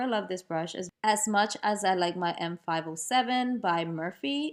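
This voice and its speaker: A woman speaks. Her pitch swings very widely. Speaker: beauty vlogger. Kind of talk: makeup tutorial voiceover. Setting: home voiceover recording. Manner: casual, chatty; stumbles over words.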